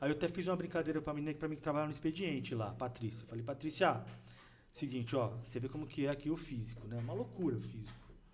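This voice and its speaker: Very fast male speech, fairly high in pitch, with vocal fry. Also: ordinary pitch variation. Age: 50s. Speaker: city official. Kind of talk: podcast interview.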